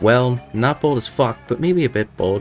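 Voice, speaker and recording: Clear music plays in the background. A man speaks at a moderate pace in a put-on character voice. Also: medium pitch for a man. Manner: grudging, matter-of-fact.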